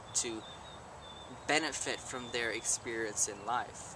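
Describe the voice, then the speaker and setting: Noticeable background noise and audible room echo fill the recording. A man speaks at a fairly slow pace. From Germany. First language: German. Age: young. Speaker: live-in volunteer. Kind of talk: interview.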